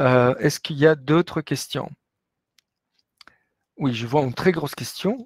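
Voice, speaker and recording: A man with a Latin American Spanish accent, fairly high-pitched, at a fairly slow pace with ordinary pitch variation, big swings in loudness, and a dry, close sound with no echo. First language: Spanish (speaking French). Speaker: business professor. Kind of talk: webinar lecture with Q&A. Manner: hesitant, many fillers.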